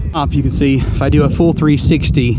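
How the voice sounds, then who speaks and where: A man speaks with a Southern Appalachian accent over noticeable background noise. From Southwest Virginia, Appalachian. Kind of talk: casual vlog talk to camera. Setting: outdoors.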